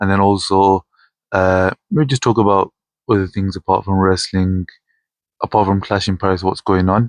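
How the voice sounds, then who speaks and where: Mumbling at a moderate pace, a man with a very deep, low pitch and monotone, flat intonation is heard in a dry, close sound with no echo over a quiet background. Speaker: wrestling vlogger. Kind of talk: casual vlog talk.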